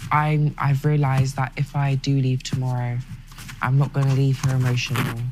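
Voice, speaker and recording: With a strong South London accent, the speaker goes at a moderate pace against noticeable background noise. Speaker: reality TV contestant. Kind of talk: casual chat.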